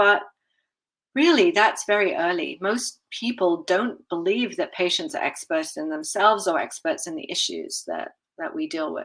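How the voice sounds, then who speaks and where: Her voice carries a slight British accent. The woman's pitch swings very wide. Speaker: patient safety advocate, communications strategist. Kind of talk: conference presentation.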